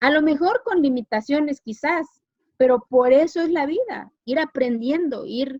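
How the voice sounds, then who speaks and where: The intonation is lively. The pace is fairly slow. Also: woman, high pitch for a woman, dry, close sound with no echo. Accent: Mexican. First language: Zapotec (speaking Spanish). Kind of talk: interview.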